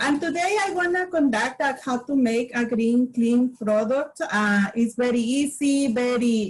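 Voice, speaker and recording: With a Spanish accent, a woman talks at a fairly slow pace in a high pitch with ordinary pitch variation. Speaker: community health promoter. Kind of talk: workshop demonstration. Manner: halting.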